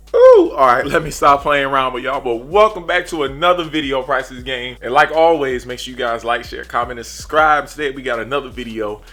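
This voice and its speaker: With noticeable background noise, a man speaks in a fairly high pitch with ordinary pitch variation, big swings in loudness and hardly any pauses. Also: fairly quick pace. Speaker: car vlogger. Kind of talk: casual vlog talk. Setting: outdoors by car. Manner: halting, stumbles over words; animated.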